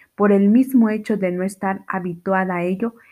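Reading aloud in a natural voice, the speaker keeps a fairly even intonation.

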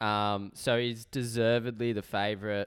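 A man speaks in an Australian accent at a medium pitch. The recording is very clean, with a silent background. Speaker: sports betting podcast co-host. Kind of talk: casual chat.

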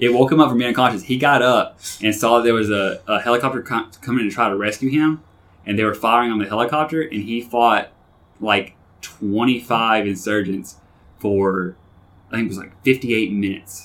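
An ordinary speaking voice from a man, medium in pitch with ordinary pitch variation, at a moderate pace in a very clean recording with a silent background. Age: 30s. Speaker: navy veteran. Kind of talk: casual chat.

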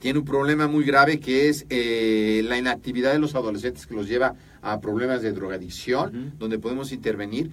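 A man talks with hardly any pauses and ordinary pitch variation. He has an ordinary speaking voice. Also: medium pitch for a man, fairly quick pace. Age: 50s. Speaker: podcast host. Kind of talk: interview.

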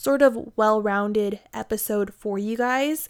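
This is a woman with a fairly high pitch. The recording is very clean, with a silent background. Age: 20s. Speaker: podcast host and YouTuber. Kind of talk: casual monologue. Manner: animated.

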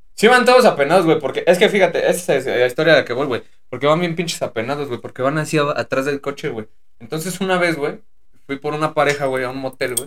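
With lively intonation, a man talks very fast at a fairly high pitch. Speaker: podcast co-host, former private driver. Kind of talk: casual chat.

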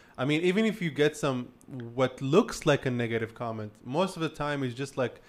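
A man talks with lively intonation and an unremarkable speaking voice, recorded very cleanly against a silent background. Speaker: podcast host. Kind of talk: casual interview chat.

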